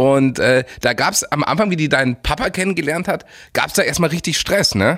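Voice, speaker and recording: Using an ordinary speaking voice, a man with fairly high pitch talks fairly quickly with lively intonation and very even loudness. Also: very clean recording, silent background. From Munich, Bavaria. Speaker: podcast host. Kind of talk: interview.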